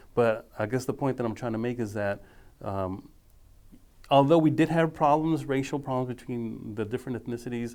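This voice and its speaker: On a very clean recording with a silent background, a man with an American accent and an ordinary speaking voice talks at a medium pitch and a moderate pace, with ordinary pitch variation. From Dallas, Texas. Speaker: history professor. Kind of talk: oral history interview answer.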